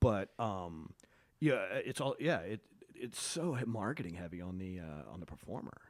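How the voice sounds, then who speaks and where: A man with an American accent speaks in a very deep, low voice, with lively intonation and big swings in loudness. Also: moderate pace. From Oklahoma. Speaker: comedian and podcast host. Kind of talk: casual chat. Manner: halting, many false starts.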